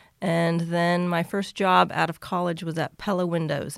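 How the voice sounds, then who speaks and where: Her voice is fairly low and moderately paced, an ordinary speaking voice. The woman is recorded very cleanly against a silent background. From rural Kansas, US. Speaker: cookie business owner and engineer. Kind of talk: interview.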